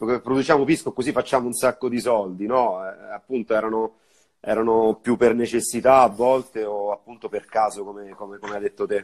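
The background is quiet. A man talks at a fairly quick pace with fairly even intonation. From Viterbo, central Italy. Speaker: bar owner and bartender. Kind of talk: casual live-stream interview. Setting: Instagram live video call. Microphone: earbuds.

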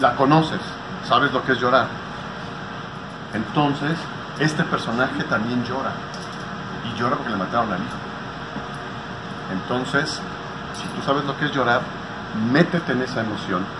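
Through loud background noise, a man talks at a moderate pace with ordinary pitch variation and long, frequent pauses. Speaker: voice acting teacher. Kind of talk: acting class lecture. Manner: animated, conversational. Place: hall. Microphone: camera far.

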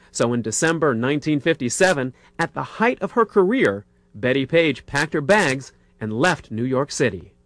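A normal speaking voice with lively intonation, a moderate pace and a quiet background. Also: man. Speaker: entertainment reporter. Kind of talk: TV feature narration.

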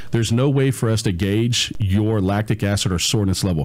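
A man speaks in a plain, everyday voice, pitched fairly low. His intonation stays fairly even and his pace is moderate. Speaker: fitness coach. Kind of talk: casual chat. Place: studio. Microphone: studio mic.

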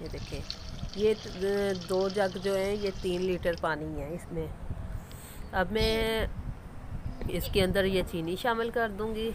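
Speaking slowly, a woman keeps a medium pitch with ordinary pitch variation.

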